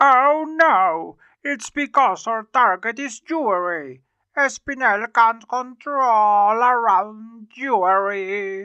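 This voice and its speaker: A woman puts on a character voice, pitched fairly high and delivered at a very slow pace. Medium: fan dub.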